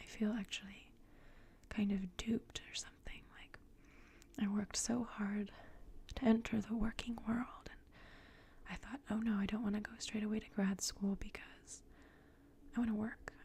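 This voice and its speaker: Whispering and soft-spoken, a somewhat breathy woman talks at a moderate pace with big swings in loudness and long, frequent pauses. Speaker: ASMR artist. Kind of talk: ASMR ramble. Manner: soft-spoken, whispered.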